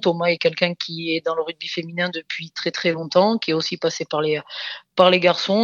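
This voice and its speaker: A woman's fairly low pitch in a monotone, flat intonation. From France, Dordogne (southwest). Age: 30s. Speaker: rugby coach, former international player. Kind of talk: interview. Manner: halting, many repetitions and fillers.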